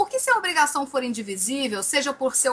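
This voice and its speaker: A woman speaks in a raised, projected voice at a high pitch. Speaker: law teacher. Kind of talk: exam review lecture. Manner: animated.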